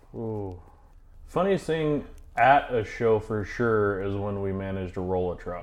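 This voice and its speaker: A man with an American accent speaks in a normal speaking voice, his pitch fairly low. He talks at a fairly slow pace with ordinary pitch variation. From Idaho. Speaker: car restorer. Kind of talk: casual chat.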